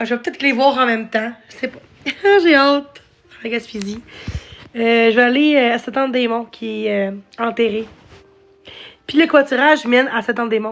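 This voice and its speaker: Pausing long and often, a woman speaks at a moderate pace with a fairly high pitch and fairly even intonation. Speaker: live streamer. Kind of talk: casual live stream chat. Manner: halting.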